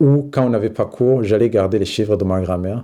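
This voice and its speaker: A man's dark, mellow voice at medium pitch, with ordinary pitch variation. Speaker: documentary subject. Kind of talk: interview testimony.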